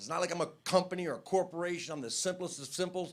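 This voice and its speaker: Over noticeable background noise, a man with a high voice speaks very fast. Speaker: stand-up comedian. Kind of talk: stand-up.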